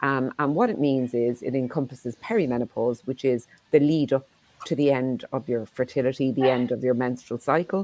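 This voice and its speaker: A woman with an Irish accent and a very deep, low pitch speaks at a fairly quick pace with ordinary pitch variation. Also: dry, close sound with no echo. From Ireland. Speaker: menopause clinic founder and CEO. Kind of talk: panel discussion.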